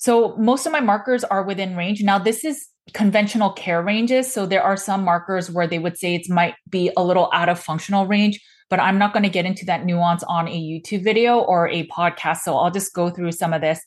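A woman talks in a normal speaking voice at medium pitch with ordinary pitch variation. Her pace is fairly quick, with hardly any pauses. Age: 40s. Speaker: nutrition practitioner and podcast host. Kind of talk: solo explainer monologue.

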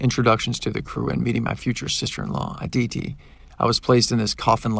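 A passage is being read aloud in a natural voice.

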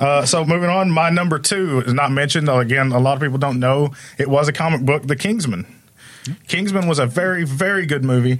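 With an unremarkable speaking voice, a man talks at a fairly quick pace and fairly high pitch, with hardly any pauses, very even loudness and ordinary pitch variation. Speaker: podcast guest, friend of hosts. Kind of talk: casual banter.

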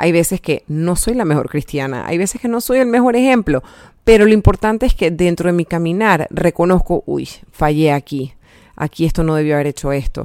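A woman with a plain, everyday voice and a fairly low pitch talks at a fairly quick pace with lively intonation, in a dry, close sound with no echo. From Panama. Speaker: health coach and podcast host. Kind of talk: personal faith testimony monologue. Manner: casual, many fillers.

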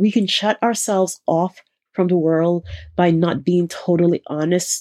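In a dry, close sound with no echo, a woman speaks fairly slowly with a dark, mellow tone and fairly even intonation. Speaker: podcast host. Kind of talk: motivational self-help podcast monologue.

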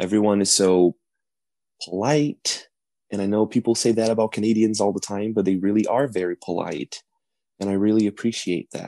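In a Portuguese accent, the speaker talks at a fairly quick pace with fairly even intonation and a dark, mellow tone, in a dry, close recording against a quiet background. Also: man. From Brazil. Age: 20s. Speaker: college student. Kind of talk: interview.

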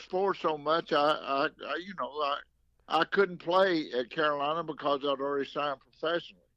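Over a quiet background, a man speaks at a moderate pace in a bright, sharp tone with fairly even intonation. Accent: Southern US. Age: 80s+. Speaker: former baseball manager. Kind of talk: casual interview.

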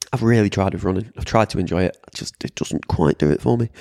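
The sound is close and dry, without any echo. A man talks in a British accent. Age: 30s. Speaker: fitness coach podcast host. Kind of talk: solo podcast monologue. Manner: casual, chatty.

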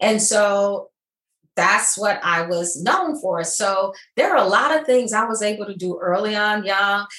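In an American accent, a woman with a normal speaking voice talks at a fairly slow pace, her pitch medium with ordinary variation. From Flint, Michigan. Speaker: retired healthcare executive. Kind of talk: interview.

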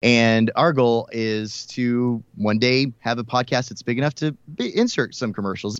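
A man with an American accent and an unremarkable speaking voice talks at a medium pitch with ordinary pitch variation against a quiet background. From US South, Houston, Texas. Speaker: country radio host. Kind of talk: casual interview.

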